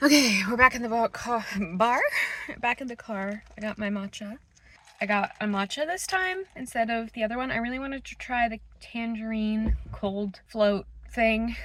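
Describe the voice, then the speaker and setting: A woman has an unremarkable speaking voice with a fairly high pitch and ordinary pitch variation. Her loudness swings widely. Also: moderate pace. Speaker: fashion vlogger. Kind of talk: casual vlog chat. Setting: in a car.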